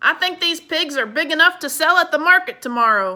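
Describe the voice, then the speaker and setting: A woman's gruff, put-on character voice, raised and projected, at an extremely high pitch with lively intonation and a fairly quick pace, in a very clean recording with a silent background. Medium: read story. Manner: gruff, grumbling.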